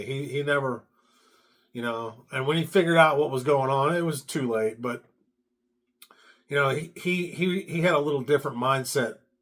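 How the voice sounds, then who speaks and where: A man talks at a fairly quick pace. His pitch is fairly high, with ordinary pitch variation. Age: 60s. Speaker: stand-up comedian. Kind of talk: personal testimony monologue. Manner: halting, with many fillers and repetitions; unscripted, conversational.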